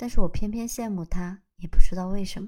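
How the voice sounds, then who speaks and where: A woman at medium pitch with a dark, mellow, somewhat breathy tone, lively intonation and a moderate pace, on a very clean recording with a silent background. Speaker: solo podcaster. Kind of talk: casual unscripted monologue.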